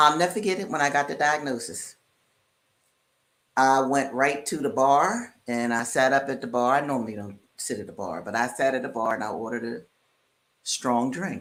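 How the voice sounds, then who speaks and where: With a very deep, low pitch, a woman talks in an animated tone with lively intonation at a moderate pace, broken by long, frequent pauses. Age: 70s. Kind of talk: podcast conversation. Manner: casual, animated.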